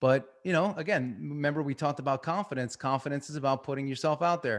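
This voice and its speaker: A man with a Long Island accent, fairly high in pitch, with ordinary pitch variation and a fairly quick pace. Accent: Long Island New York. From Long Island, New York. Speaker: performance coach. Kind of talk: webinar talk.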